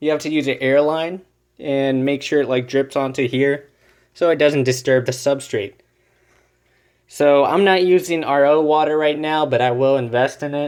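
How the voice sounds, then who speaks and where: A man with a fairly high pitch, fairly even intonation and an unremarkable speaking voice. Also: moderate pace. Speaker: aquarium hobbyist YouTuber. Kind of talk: tutorial. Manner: casual, filler-heavy.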